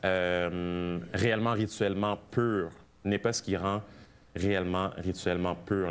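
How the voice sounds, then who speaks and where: A man talks in a very deep, low voice with monotone, flat intonation. The recording is very clean, and the background is silent. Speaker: preacher. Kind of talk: sermon.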